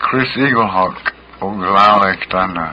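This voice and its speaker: A man speaks very slowly with a fairly low pitch. Noticeable background noise is present. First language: Lakota. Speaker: guest speaker. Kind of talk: casual radio chat.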